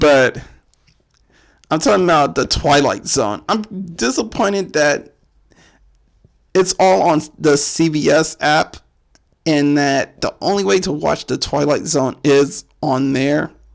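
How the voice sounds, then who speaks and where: A man with a fairly high voice speaks at a very slow pace. His pauses are long and frequent. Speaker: horror podcast host. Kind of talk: casual solo commentary. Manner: casual, rambling with repetitions.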